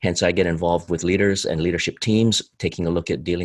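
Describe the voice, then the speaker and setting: On a very clean recording with a silent background, a man speaks at a very fast pace in a very deep, low pitch, the sound dry and close with no echo. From Hawaii. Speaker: behavioural modelling consultant. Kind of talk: interview. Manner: animated.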